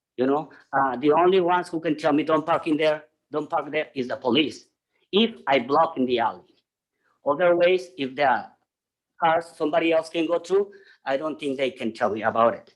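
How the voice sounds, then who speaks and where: Long, frequent pauses mark this speech in a non-native accent, its pitch varying in an ordinary way. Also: man, fairly high pitch for a man, moderate pace. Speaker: public commenter at city council. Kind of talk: public comment. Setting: city council meeting.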